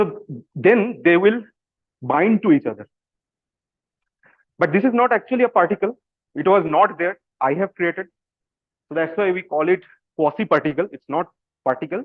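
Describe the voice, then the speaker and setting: A man speaks at a moderate pace and high pitch with lively intonation. He leaves long, frequent pauses. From India, Kolkata, West Bengal. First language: Bengali. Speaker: physics PhD student. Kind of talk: public science talk. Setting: video call. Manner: casual, hesitant with fillers.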